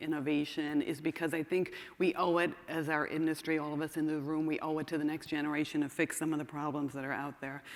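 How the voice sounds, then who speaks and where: Over noticeable background noise, a woman with a very deep, low pitch talks at a fairly quick pace. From Ireland. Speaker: investment banker. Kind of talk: conference talk.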